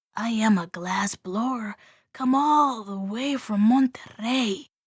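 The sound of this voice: In a put-on character voice, a female-sounding speaker talks shakily at a fairly slow pace with a fairly high pitch.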